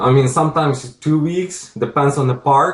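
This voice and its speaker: A man with a strong non-native accent speaks at a medium pitch, his voice somewhat breathy. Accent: strong foreign. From Ukraine. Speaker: real estate investor. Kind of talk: interview.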